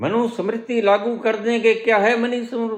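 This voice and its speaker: A man talks here. His pitch sits high for a man. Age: 70s. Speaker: spiritual teacher. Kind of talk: satsang discourse. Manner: animated.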